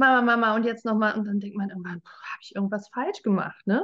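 A woman's unremarkable speaking voice at medium pitch and a fairly quick pace. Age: 40s. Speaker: human design and life coach. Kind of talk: interview conversation.

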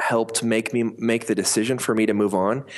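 A normal speaking voice with an American accent, at a moderate pace against a quiet background. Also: man. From US Mountain West (Colorado and Montana). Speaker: company founder and CEO. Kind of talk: interview.

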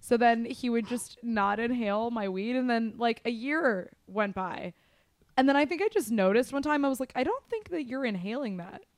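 An unremarkable speaking voice from a woman, fairly high in pitch, with an American accent, ordinary pitch variation and a moderate pace. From US West, Las Vegas. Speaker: movie podcast co-host. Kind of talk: casual chat.

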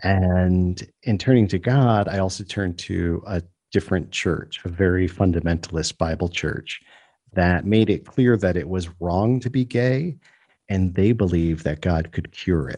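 In a New York accent, a man talks at a fairly slow pace with a very deep, low pitch and a dark, mellow tone. The background is quiet. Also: ordinary pitch variation. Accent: New York area American. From New York State, US. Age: 50s. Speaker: comedian and storyteller. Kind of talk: interview.

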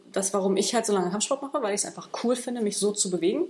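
Noticeable background noise surrounds a woman of medium pitch who talks at a very fast pace. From Berlin, Germany. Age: 30s. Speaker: martial arts and fitness trainer. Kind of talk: casual interview. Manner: halting, many fillers.

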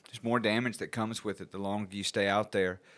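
With a Southern US accent, a man speaks at a fairly low pitch and with fairly even intonation. The recording is very clean, with a silent background. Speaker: podcast host, addiction recovery worker. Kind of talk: interview.

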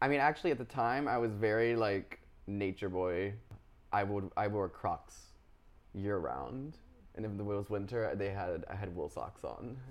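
With an American accent and a plain, everyday voice, a man speaks at a moderate pace and a fairly low pitch with ordinary pitch variation. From US South, Charlotte, North Carolina. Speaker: artist. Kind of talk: casual interview about personal life. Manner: casual, with fillers and laughter.

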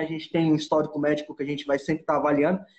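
A man speaks with a fairly high pitch. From Brazil, Goiânia (Goiás). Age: 20s. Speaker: scuba diving instructor. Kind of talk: casual interview chat. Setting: Instagram live stream.

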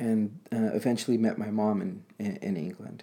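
With an American accent, a man speaks at a fairly slow pace. His pitch is fairly low and his tone is dark and mellow. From Los Angeles, US. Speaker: guest. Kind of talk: casual chat.

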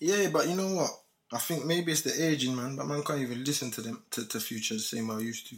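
Speaking at a very fast pace, a man with a London accent uses a fairly high pitch and lively intonation. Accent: London multicultural English. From UK. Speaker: podcast guest, host's friend. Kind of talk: casual chat.

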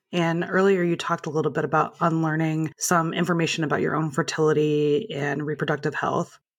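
A woman speaks at a fairly quick pace with hardly any pauses. Her pitch is fairly low, and she has an ordinary speaking voice. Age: 30s. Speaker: podcast host. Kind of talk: interview.

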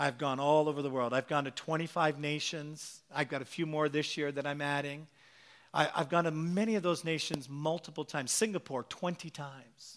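In a very clean recording with a silent background, a man speaks at a fairly high pitch and a fairly quick pace in an animated tone. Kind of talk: sermon. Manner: animated, exhorting the congregation with rhetorical questions and urgent calls to faith; punchy, repetitive preacher cadence ('Listen...'), building to a fervent crescendo.

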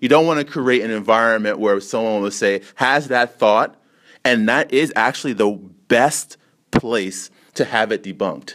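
A man with a normal speaking voice, medium pitch, ordinary pitch variation, and a moderate pace. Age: 30s. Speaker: teacher hosting a school podcast. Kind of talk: moderated group discussion.

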